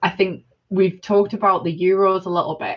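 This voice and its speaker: A woman speaks in a Sunderland accent at medium pitch. Her intonation is monotone and flat. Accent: northern English (Mackem). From northern England, Sunderland area. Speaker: discussion participant. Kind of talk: panel discussion. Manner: halting, many fillers and restarts.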